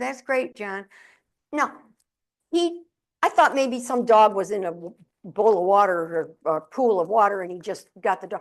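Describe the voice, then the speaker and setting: A woman with an American accent speaks at a fairly slow pace with very wide pitch swings against a quiet background. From upstate New York (Syracuse). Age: 70s. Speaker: motivational speaker and humorist. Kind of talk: keynote speech. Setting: stage with audience. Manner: animated.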